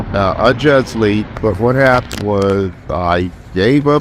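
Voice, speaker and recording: With an American accent, a man speaks at a fairly low pitch with ordinary pitch variation over noticeable background noise. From Los Angeles (South LA, Westchester). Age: 60s. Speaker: street vendor. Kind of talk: street interview.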